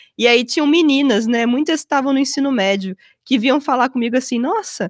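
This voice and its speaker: A woman's high-pitched voice on a very clean recording with a silent background. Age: 30s. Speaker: physicist. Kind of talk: casual interview.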